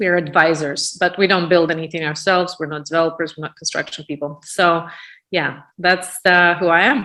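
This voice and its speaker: A woman's bright, sharp voice with a Russian accent, fairly low in pitch and fairly even in intonation, at a fairly quick pace over a quiet background. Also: big swings in loudness. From Russia, Moscow suburb. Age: 40s. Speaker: real estate business owner. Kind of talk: podcast interview. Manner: halting, many fillers.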